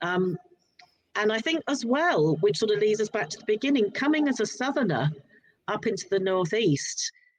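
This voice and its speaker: Her loudness swinging a lot, a woman with a fairly high pitch talks at a moderate pace with very wide pitch swings. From southern England, Sussex. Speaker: author. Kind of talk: casual interview chat. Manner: halting, with many repetitions.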